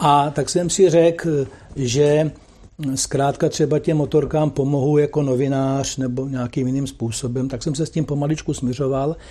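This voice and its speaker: A man with a dark, mellow tone and fairly high pitch speaks at a moderate pace with fairly even intonation. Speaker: sports commentator. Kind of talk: interview.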